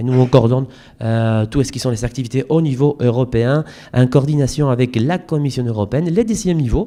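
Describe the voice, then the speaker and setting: The voice has a dark, mellow tone and a Spanish accent. The intonation is lively, and the pace is moderate. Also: man. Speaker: European campaign coordinator, conference speaker. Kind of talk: conference presentation. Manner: hesitant, many fillers.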